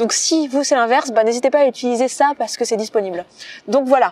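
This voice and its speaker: Over noticeable background noise, a woman with a high pitch speaks very fast, with ordinary pitch variation and a dry, close sound that has no echo. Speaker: podcaster and personal development coach. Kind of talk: casual video talk, book summary. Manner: filler-heavy, hesitant 'euh'.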